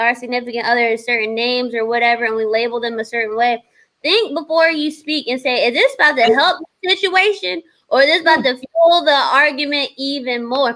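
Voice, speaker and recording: Raised and projected, a woman's high-pitched voice has a bright, sharp tone and lively intonation at a moderate pace. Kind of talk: casual chat. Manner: loud.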